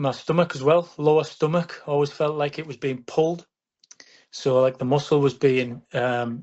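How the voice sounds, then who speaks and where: At a moderate pace, a man with a northern English accent speaks at a fairly high pitch with fairly even intonation. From northern England. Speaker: patient. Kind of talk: testimony. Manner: halting.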